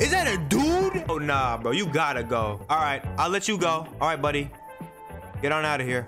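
Over clear background music, a man with a fairly high pitch sounds energetic at a moderate pace, with ordinary pitch variation and very even loudness. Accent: American. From New Jersey. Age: young. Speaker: gaming streamer. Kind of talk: gaming commentary. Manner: casual, energetic.

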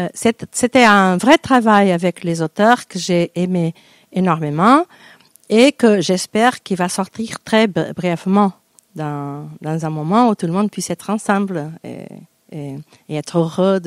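A woman with a Portuguese accent speaks very slowly with lively intonation and big swings in loudness, in a dry recording with no echo and a quiet background. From Portugal, Porto; Portugal. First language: Portuguese (speaking French). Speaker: poet and university lecturer; poet, university lecturer. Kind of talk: interview self-introduction. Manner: halting, many hesitations. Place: stage. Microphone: handheld.

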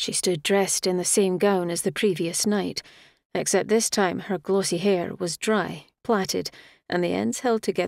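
The background stays quiet. A natural reading voice carries fairly even intonation.

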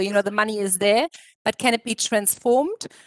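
A woman talks at a moderate pace with a German accent and fairly high pitch. The sound is dry with no echo, and the background is quiet. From Germany. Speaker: economist. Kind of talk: panel discussion. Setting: virtual conference. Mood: upbeat, engaged. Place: home room. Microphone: video call.

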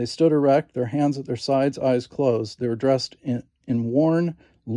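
Plain reading aloud over a quiet background.

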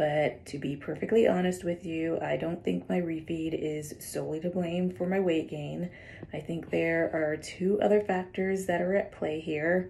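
A dark, mellow tone at a moderate pace, with fairly even intonation. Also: woman, fairly low pitch for a woman. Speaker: vlogger. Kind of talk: casual vlog chat. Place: home room. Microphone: phone near.

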